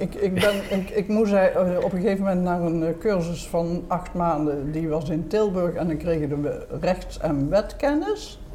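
This woman speaks at a fairly slow pace, medium in pitch, with ordinary pitch variation. There is noticeable background noise. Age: 80s+. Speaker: retired civil servant, grandmother. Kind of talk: casual chat. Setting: restaurant.

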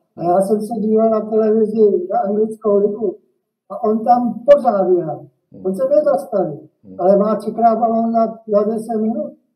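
Ordinary pitch variation at a moderate pace. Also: man, high pitch for a man. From Czech Republic, Liberec. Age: 70s. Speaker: retired football coach. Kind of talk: interview. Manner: halting, many fillers.

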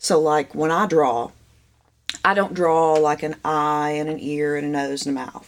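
A woman speaks with a very deep, low pitch. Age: 40s. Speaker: painter. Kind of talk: casual chat.

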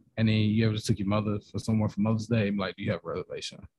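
Dry and close with no echo, the recording has a man at medium pitch with a dark, mellow tone, somewhat breathy, speaking at a very fast pace. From Nashville, Tennessee. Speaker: podcaster guest. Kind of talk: casual chat.

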